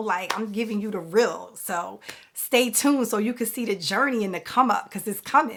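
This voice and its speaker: This woman's pitch is fairly high. She talks at a moderate pace. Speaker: real estate investor and business coach. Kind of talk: casual vlog monologue. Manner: loud; casual, filler-heavy.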